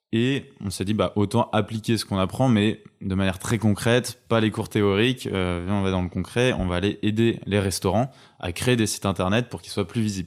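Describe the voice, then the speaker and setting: In a plain, everyday voice, a man with a fairly low pitch speaks at a moderate pace with fairly even intonation and hardly any pauses, on a very clean recording with a silent background. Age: 20s. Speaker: entrepreneur. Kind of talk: casual chat. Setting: at home.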